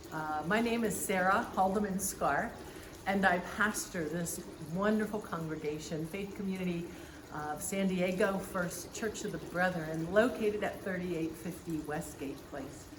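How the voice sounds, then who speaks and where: There is audible room echo and noticeable background noise. Through it, a woman speaks at a moderate pace. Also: medium pitch for a woman, ordinary pitch variation. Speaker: pastor. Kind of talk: church welcome address. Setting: outdoors by a fountain. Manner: projecting loudly.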